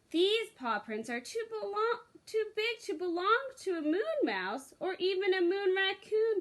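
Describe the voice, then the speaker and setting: A woman performs a put-on character voice at an extremely high pitch. She speaks at a fairly slow pace. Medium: read story.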